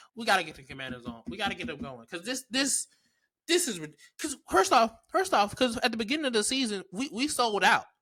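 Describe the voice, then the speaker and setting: A man with a Maryland accent speaks in a raised, projected voice at an extremely high pitch, with a bright, sharp tone, an animated tone, very wide pitch swings, big swings in loudness and a fairly quick pace. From Maryland, US. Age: 20s. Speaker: podcast host. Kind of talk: casual chat.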